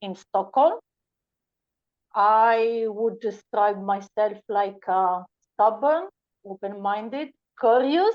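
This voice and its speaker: A woman speaks at a medium pitch with an Italian accent. Her pace is very slow. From Italy. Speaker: podcast guest. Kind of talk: interview. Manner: halting.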